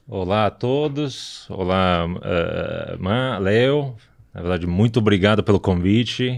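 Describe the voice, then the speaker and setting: Very slowly, a man with an Italian accent speaks at a fairly low pitch with ordinary pitch variation. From southern Italy (Apulia). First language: Italian (speaking Portuguese). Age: 40s. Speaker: company director. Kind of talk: podcast interview. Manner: hesitant, many filler words.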